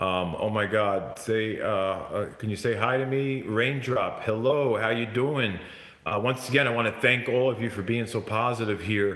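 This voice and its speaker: Over noticeable background noise and audible room echo, a man talks at a moderate pace in a medium pitch with fairly even intonation. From New Jersey / New York, US. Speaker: YouTuber ghost hunter. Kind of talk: live stream chat. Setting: at home, live stream. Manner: loud; halting.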